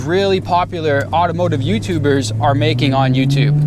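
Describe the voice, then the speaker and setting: Noticeable background noise and audible room echo surround a man. He talks at a moderate pace in a medium pitch. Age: 30s. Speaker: YouTuber and internet entrepreneur. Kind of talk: casual vlog monologue. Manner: casual with fillers.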